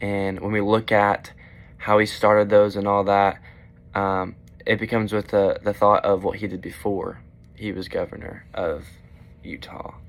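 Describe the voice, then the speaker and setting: This man speaks at a moderate pace in a fairly low pitch. His intonation is monotone and flat. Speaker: student presenter. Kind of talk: class video presentation. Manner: halting, many fillers.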